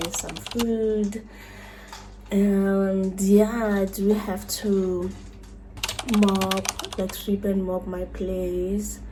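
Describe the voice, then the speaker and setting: Female speech amid noticeable background noise, with audible room echo. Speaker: lifestyle vlogger. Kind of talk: casual vlog narration. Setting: at home.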